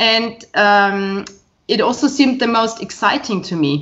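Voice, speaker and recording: With a German accent, a woman speaks at a moderate pace with lively intonation. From Bavaria, Germany. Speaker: professor. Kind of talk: casual interview chat. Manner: hesitant, filler-heavy.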